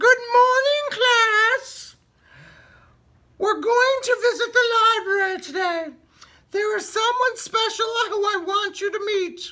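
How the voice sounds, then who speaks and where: A squeaky, put-on character voice at an extremely high pitch moves at a fairly slow pace with long, frequent pauses. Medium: read story. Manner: cheerful.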